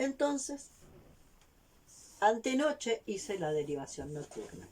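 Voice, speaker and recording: Speaking very slowly, a woman with a fairly high pitch makes very wide pitch swings. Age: 60s. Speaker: vlogger. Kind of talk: personal testimony.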